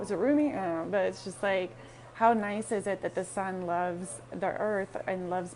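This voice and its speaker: A woman at a medium pitch and a moderate pace, with ordinary pitch variation. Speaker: motivational speaker. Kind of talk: casual live stream monologue. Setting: coffee shop. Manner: halting, many fillers.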